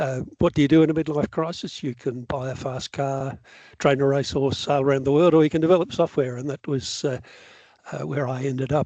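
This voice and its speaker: A man with an Australian accent talks at a fairly quick pace and a fairly high pitch, his dark, mellow tone captured in a dry, close sound with no echo. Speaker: software developer. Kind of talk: lecture. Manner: fast when enthusiastic.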